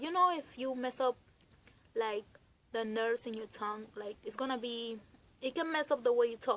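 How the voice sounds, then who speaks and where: A woman speaks in a bright, sharp tone at a high pitch. Her pace is moderate and her pitch variation ordinary. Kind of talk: casual talk to camera. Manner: giggly, laughs a lot.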